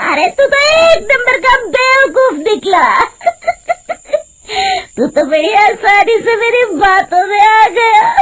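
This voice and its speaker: A put-on character voice cackles at an extremely high pitch. The pace is fairly slow. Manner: mocking, cackling.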